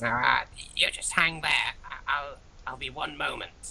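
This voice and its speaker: Over clear background noise, someone performs in a put-on character voice at a moderate pace. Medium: actual play. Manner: hesitant, stammering.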